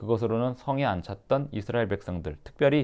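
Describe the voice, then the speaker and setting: Against a quiet background, a man speaks at a moderate pace and medium pitch. His tone is dark and mellow, with lively intonation. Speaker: pastor. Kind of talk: sermon-style explanation of the passage.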